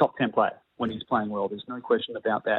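With an Australian accent, a man rattles along at a very fast pace. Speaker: tennis coach. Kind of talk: phone interview. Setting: phone call.

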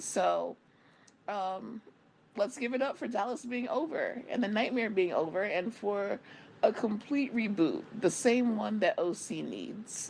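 Vocal fry runs through a woman's animated voice. Her intonation is lively. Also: fairly high pitch for a woman, fairly slow pace. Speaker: podcast host. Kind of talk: casual chat.

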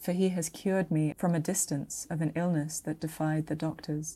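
Dramatic delivery in a dark, mellow tone at a moderate pace. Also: woman, very clean recording, silent background. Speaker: translator of the Arabian Nights. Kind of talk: mythic tale narration, reading aloud. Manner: measured, storyteller cadence, dramatic.

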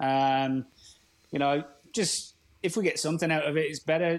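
She speaks with an English accent. The voice is a woman's. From England. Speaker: caller, club representative. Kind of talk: phone interview.

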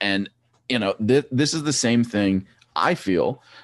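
A man talks at a moderate pace. Behind him, the setting is quiet. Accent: Pennsylvania. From eastern Pennsylvania. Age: 30s. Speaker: former track cyclist and coach. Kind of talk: casual interview.

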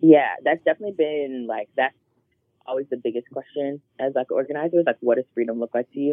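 A woman's very deep, low voice with an American accent, a fairly quick pace and ordinary pitch variation. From Charlotte, North Carolina. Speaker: activist and community organizer. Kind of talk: interview.

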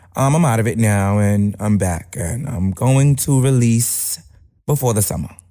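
A man with a Brooklyn accent and a dark, mellow tone speaks at a fairly slow pace with medium pitch and ordinary pitch variation. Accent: New York (Brooklyn). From East New York, Brooklyn. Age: 20s. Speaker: rapper. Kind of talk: casual interview. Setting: studio.

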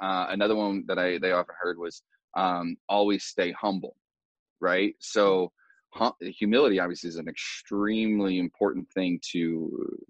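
Speaking with an American accent at a moderate pace and fairly even intonation, the speaker has an unremarkable speaking voice, recorded with a dry, close sound and no echo. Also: man. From US Midwest, rural Indiana. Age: 30s. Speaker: personal development coach. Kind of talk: casual interview.

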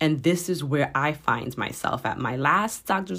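A woman talks at a fairly slow pace in a very deep, low pitch with vocal fry and lively intonation. The recording is very clean, with a silent background. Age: 40s. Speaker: podcast host and transformation coach. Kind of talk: faith-based motivational talk.

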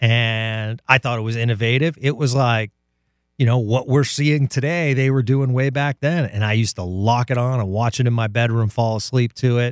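Medium-pitched man with an American accent, an unremarkable speaking voice at a moderate pace with fairly even intonation, the sound dry and close with no echo. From New England coastal town near Boston. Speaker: radio station executive. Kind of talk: interview.

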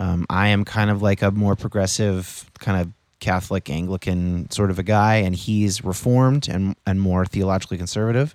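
A man in a plain, everyday voice speaks at a moderate pace with fairly even intonation, very even loudness and hardly any pauses, on a very clean recording with a silent background. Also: fairly low pitch for a man. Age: 30s. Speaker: political podcast host, guest. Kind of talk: casual conversation.

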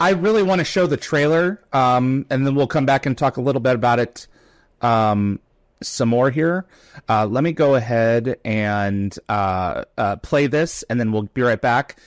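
Medium in pitch, a man speaks at a fairly slow pace with lively intonation and very even loudness. The sound is dry and close with no echo, on a very clean recording with a silent background, and it is a plain, everyday voice. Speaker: podcast host. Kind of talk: live-streamed interview. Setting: live stream with chat questions.

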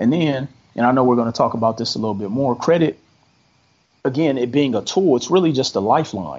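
In an American accent, a man speaks with a plain, everyday voice at medium pitch and ordinary pitch variation. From Milwaukee, Wisconsin, US Midwest. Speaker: credit specialist and entrepreneur. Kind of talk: podcast interview.

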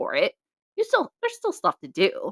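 On a very clean recording with a silent background, a woman speaks in an animated tone, the sound dry and close with no echo. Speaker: podcast co-host. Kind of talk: casual chat. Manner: animated, casual.

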